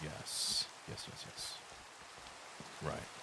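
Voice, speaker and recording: A quiet man speaks over noticeable background noise. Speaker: gaming commentator. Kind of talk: quiet gameplay commentary for sleep. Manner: hushed, quiet.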